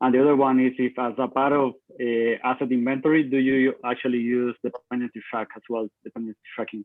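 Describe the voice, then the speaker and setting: A man speaks at medium pitch in a Spanish accent, with hardly any pauses. His intonation is monotone and flat. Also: fairly quick pace. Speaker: audience member asking questions. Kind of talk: Q&A question. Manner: halting, many fillers.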